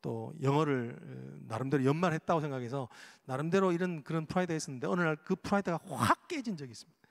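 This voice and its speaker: Fairly high in pitch, a man speaks with a Daegu accent at a fairly quick pace and with lively intonation. The recording is very clean, with a silent background. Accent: Daegu dialect (Gyeongsang), noticeable. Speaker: pastor. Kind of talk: sermon.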